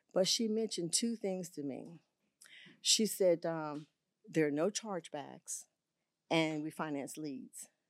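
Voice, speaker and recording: The speaker has a Southern US accent and lively intonation, talking at a fairly slow pace with long, frequent pauses. The recording is very clean, with a silent background and a dry, close sound with no echo. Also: woman, fairly low pitch for a woman. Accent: Southern US (Georgia). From US South, Augusta, Georgia. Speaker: insurance agent. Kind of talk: interview. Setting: studio.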